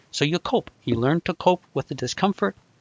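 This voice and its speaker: A man talks at a moderate pace with ordinary pitch variation. It is an unremarkable speaking voice. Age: 60s. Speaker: anxiety recovery coach. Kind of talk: live video call discussion. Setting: video call.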